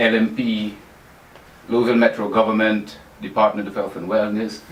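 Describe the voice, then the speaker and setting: A man with a London accent speaks at a moderate pace in a fairly low pitch. His intonation is monotone and flat, and there is noticeable background noise. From England, North London. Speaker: personal trainer. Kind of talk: radio interview.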